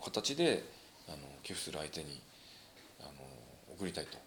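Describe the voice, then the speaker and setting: Vocal fry from a man with a very deep, low pitch at a moderate pace. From Japan, Ibaraki (Tsuchiura). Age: 40s. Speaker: professional wrestler and dentist. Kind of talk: casual interview chat.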